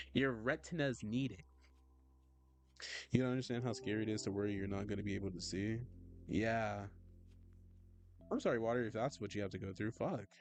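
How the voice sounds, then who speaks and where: Soft-spoken man at a fairly low pitch and fairly quick pace, ordinary pitch variation, long, frequent pauses and music in the background. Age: 20s. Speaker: vtuber artist streamer. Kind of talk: casual livestream chat while drawing. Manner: animated. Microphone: poor mic, plans new one.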